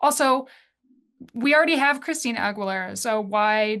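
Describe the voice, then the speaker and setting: A woman's plain, everyday voice, fairly high with ordinary pitch variation, over a quiet background. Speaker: musician and composer. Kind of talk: casual chat.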